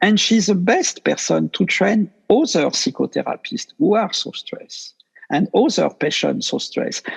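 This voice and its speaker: The sound is dry and close with no echo as a man speaks with a French accent. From France. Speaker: meditation teacher. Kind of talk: interview. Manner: halting.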